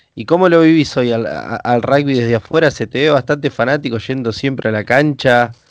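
At a fairly quick pace with hardly any pauses, a man of medium pitch speaks in a Rioplatense accent with ordinary pitch variation. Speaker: podcast host. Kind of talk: interview. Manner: halting.

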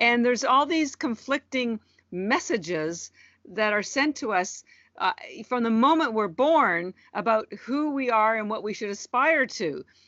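In a normal speaking voice, a woman with a Canadian accent talks at a fairly slow pace with a fairly high pitch. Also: lively intonation. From Canada. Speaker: entrepreneur. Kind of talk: interview.

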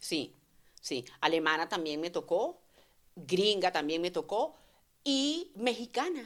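Over a silent background on a very clean recording, a woman at medium pitch talks at a very slow pace with very wide pitch swings and long, frequent pauses. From Venezuela. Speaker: voice actress. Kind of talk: casual chat.

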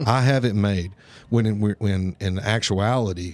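Here is a man with an unremarkable speaking voice, pitched fairly low. He keeps a moderate pace and fairly even intonation. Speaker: podcast host. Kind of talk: casual interview chat.

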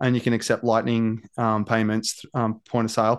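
In a quiet background, a man talks with an Australian accent. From Australia, rural Victoria. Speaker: cafe owner and former pastor. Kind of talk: casual podcast interview.

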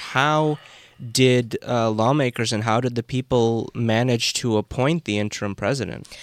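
A man with a plain, everyday voice speaks at a moderate pace with medium pitch and fairly even intonation. The recording is very clean, with a silent background and a dry, close sound with no echo. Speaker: podcast host. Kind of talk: panel discussion. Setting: studio.

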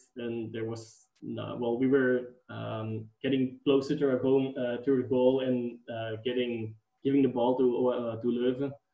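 A man speaks in a Dutch accent at a fairly slow pace. His intonation is flat and monotone. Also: medium pitch for a man. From Flanders, Belgium. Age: 20s. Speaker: football fan guest. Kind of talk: casual chat. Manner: halting.

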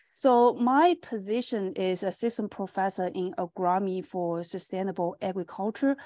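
With a Chinese accent, a woman speaks at a moderate pace and medium pitch in a dark, mellow tone with ordinary pitch variation. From China. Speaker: agronomy professor. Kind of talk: interview. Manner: halting, many fillers.

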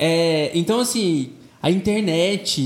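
This man's voice sits high in pitch and moves with ordinary variation. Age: 20s. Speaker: pop singer and advertising professional. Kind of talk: casual chat.

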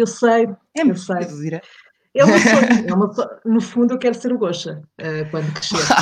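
Her pitch fairly high and her intonation lively, a woman speaks at a moderate pace. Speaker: podcaster, radio background. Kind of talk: casual interview.

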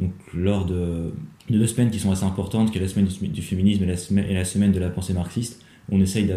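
A man's very deep, low voice, dark and mellow, somewhat breathy, fairly quick, monotone and flat, with audible room echo. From Normandy, France (Rouen). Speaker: student activist. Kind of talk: interview. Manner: halting, many repetitions and fillers.

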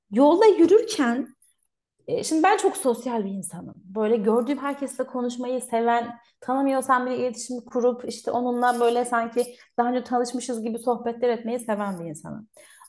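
With big swings in loudness, a woman talks at a high pitch and moderate pace, showing ordinary pitch variation. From Turkey. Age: 30s. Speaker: migration consultant. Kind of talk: casual interview chat.

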